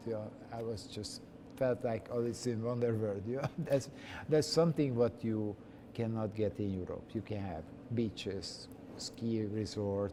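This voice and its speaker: In a slight Hungarian accent, a man talks at a fairly slow pace, his medium-pitched voice dark and mellow with ordinary pitch variation. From Hungary, Budapest. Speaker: chef. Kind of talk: interview. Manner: halting.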